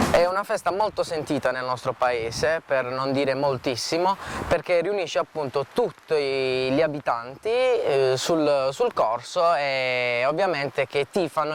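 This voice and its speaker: There is noticeable background noise as a man speaks at a very slow pace. His pitch is fairly high, with lively intonation. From Puglia, southern Italy (Palo del Colle near Bari). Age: 20s. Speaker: trainee surveyor, local event volunteer. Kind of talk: on-camera interview. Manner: halting, many fillers.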